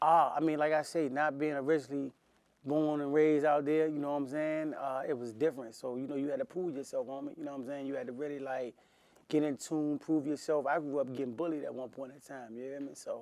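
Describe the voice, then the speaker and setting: A man speaks very fast in a New Orleans accent. His pitch is fairly high and his intonation monotone and flat. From Washington, D.C. (Southeast). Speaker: rapper. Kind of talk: interview. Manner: casual, slangy.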